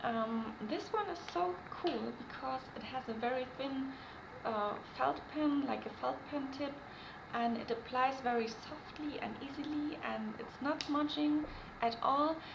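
Someone with a non-native accent speaks at a fairly slow pace with ordinary pitch variation. Noticeable background noise runs underneath. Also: woman, high pitch for a woman. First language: not English. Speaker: beauty vlogger. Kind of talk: casual talk to camera. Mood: cheerful, relaxed. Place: home room. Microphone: webcam.

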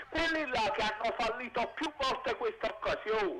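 Amid loud background noise, a man with an extremely high pitch raises and projects his voice, speaking at a moderate pace with lively intonation. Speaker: caller. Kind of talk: phone-in opinion. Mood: animated football opinion. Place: street. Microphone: handheld.

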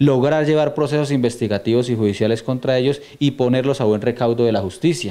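Male voice, dark and mellow in tone, at a very fast pace with ordinary pitch variation. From Colombia, Boyacá. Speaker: police commander. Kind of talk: news interview. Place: office. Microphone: handheld.

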